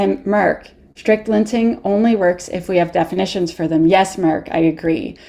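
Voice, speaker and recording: In a Canadian accent, a woman speaks at a moderate pace with a medium pitch, a dark, mellow tone and ordinary pitch variation. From Canada. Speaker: security workshop instructor. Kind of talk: interactive technical workshop. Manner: animated.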